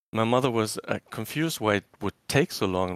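A man with a German accent, fairly low in pitch, at a moderate pace, in a dry, close sound with no echo on a very clean recording with a silent background. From Germany, former East Germany. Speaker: caller. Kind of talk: casual chat.

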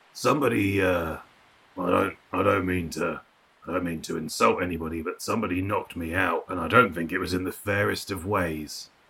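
Putting on a gruff character voice, a man speaks very deep and low. His pace is moderate and his pitch varies in an ordinary way.

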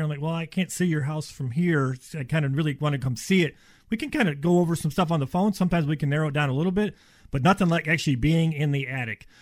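On a very clean recording with a silent background, a man with a fairly high, somewhat breathy voice speaks very fast with ordinary pitch variation. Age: 50s. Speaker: insulation contractor. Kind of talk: radio interview. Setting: studio.

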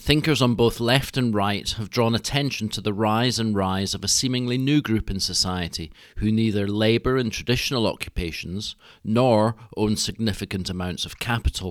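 This man has a normal speaking voice at medium pitch. He talks at a moderate pace with ordinary pitch variation. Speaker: podcast host. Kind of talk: scripted introduction.

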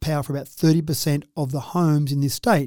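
A man with an Australian accent talks at a fairly quick pace in a fairly high pitch, his tone dark and mellow. His intonation stays fairly even, and the recording is very clean with a silent background. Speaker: mayor. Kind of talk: radio interview.

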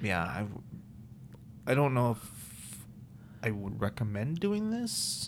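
A man with an American accent speaks at a very slow pace, leaving long, frequent pauses. There is audible room echo. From Maryland, US. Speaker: personal trainer. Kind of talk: casual chat.

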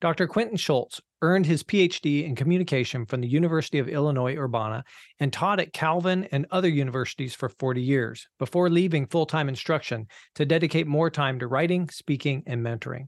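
Against a quiet background, a man rattles along at a very fast pace, his fairly high pitch sounding dry and close with no echo. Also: ordinary pitch variation. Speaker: podcast co-host. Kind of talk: podcast introduction and interview.

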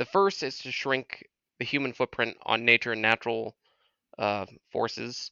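A man with an American accent speaks at medium pitch and a moderate pace. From Massachusetts, near Boston. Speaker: nuclear power engineer. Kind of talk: casual chat.

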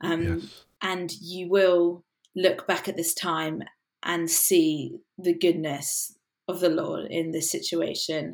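A woman speaks very slowly with a southern English accent. Her fairly low voice carries vocal fry and a monotone, flat intonation. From England, south coast village. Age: 20s. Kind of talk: casual interview chat.

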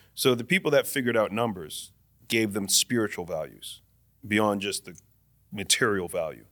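On a very clean recording with a silent background, a man speaks at a moderate pace with a fairly low pitch and a bright, sharp tone. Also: ordinary pitch variation. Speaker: guest. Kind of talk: casual chat.

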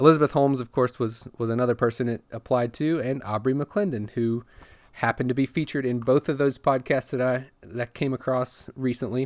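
A man speaks at medium pitch and a fairly quick pace. His intonation stays fairly even. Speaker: podcast host. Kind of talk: solo podcast monologue about Tesla news. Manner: informal, hesitant, self-correcting with fillers.

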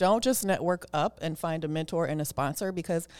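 With an American accent, a woman at fairly low pitch uses an ordinary speaking voice at a moderate pace on a very clean recording with a silent background. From Oakland, California. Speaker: tech lawyer and executive. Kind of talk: interview.

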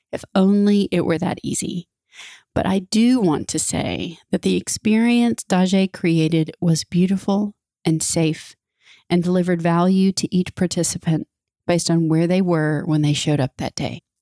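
In a very clean recording with a silent background, a woman speaks in a fairly low pitch with a dark, mellow tone, ordinary pitch variation, and a dry, close sound with no echo. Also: moderate pace. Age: 40s. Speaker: podcast host. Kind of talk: personal monologue.

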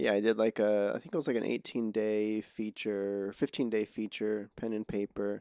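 Soft-spoken, with a dark, mellow tone, the voice moves at a moderate pace with fairly even intonation and hardly any pauses, on a very clean recording with a silent background and a dry, close sound with no echo. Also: man. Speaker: podcast host and filmmaker. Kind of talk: casual interview conversation. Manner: halting, many false starts.

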